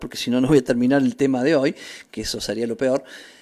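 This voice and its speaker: A man's fairly high-pitched voice in a very clean recording with a silent background. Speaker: bible teacher. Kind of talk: religious teaching.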